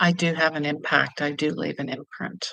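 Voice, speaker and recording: A woman's very deep, low voice with vocal fry and a bright, sharp tone, ordinary pitch variation, and a fairly slow pace. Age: 50s. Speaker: intuitive healer and travel vlogger. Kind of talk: casual livestream talk to camera.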